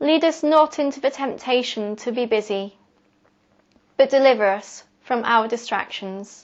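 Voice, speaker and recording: With ordinary pitch variation, a woman's voice sits at a high pitch. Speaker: poet. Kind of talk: poetry reading.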